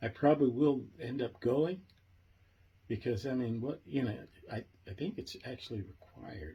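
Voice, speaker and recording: At a moderate pace, a man talks with medium pitch and vocal fry. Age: 70s. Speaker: project founder and video host. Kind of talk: casual monologue. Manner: animated; halting, with fillers and repetitions.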